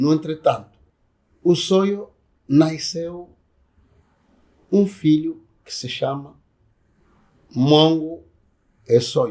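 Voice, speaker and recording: The speaker moves at a very slow pace with long, frequent pauses, big swings in loudness and ordinary pitch variation. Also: man. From Angola, Soyo (Zaire province). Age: 70s. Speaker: traditional community chief. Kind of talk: oral history interview.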